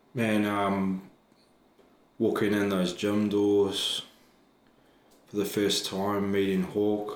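Delivery comes at a very slow pace with long, frequent pauses, in a New Zealand accent. Intonation is monotone and flat, and loudness very even. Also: man, fairly low pitch for a man. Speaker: professional wrestler and trainer. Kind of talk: casual interview chat.

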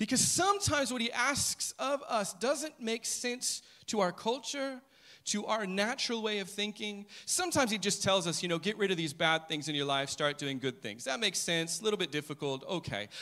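A man's raised, projected voice, high-pitched with a bright, sharp tone, very wide pitch swings, and a moderate pace. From United States. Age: 40s. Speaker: preacher. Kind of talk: sermon.

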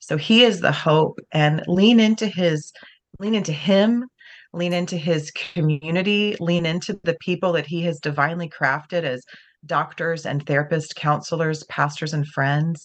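An unremarkable speaking voice from a woman, fairly low in pitch, at a moderate pace with ordinary pitch variation. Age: 40s. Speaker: author and speaker. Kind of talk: interview.

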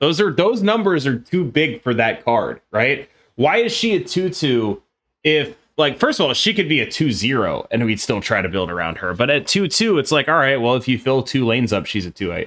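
A man talks with vocal fry at a fairly high pitch and moderate pace, his pitch swinging very widely. The recording is very clean with a silent background. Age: 30s. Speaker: card game streamer and podcast co-host. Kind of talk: casual chat.

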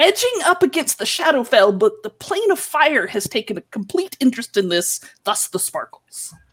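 A woman puts on a character voice, high-pitched with very wide pitch swings. She barely pauses at all. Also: moderate pace. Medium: actual play. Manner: scolding, lecturing.

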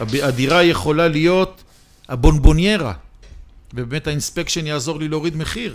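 Music plays in the background as a man speaks with a fairly high pitch, ordinary pitch variation, big swings in loudness, and long, frequent pauses. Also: moderate pace. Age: 60s. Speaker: real estate investment expert. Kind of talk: interview debate.

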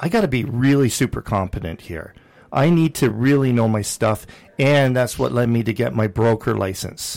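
This man has a plain, everyday voice with a Canadian accent. His pitch is medium and his pace moderate. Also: ordinary pitch variation. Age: 50s. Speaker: radio host and real estate broker. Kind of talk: casual chat.

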